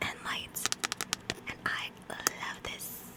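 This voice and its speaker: Through noticeable background noise, a woman whispers at a very slow pace. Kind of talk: ASMR oracle reading and love poems for bed. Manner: whispered, soft-spoken.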